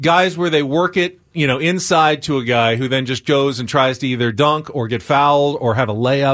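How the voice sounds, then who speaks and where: In a plain, everyday voice, a man with a fairly high pitch speaks at a moderate pace with ordinary pitch variation and hardly any pauses, on a very clean recording with a silent background. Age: 40s. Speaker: sports radio host. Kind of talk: sports talk radio.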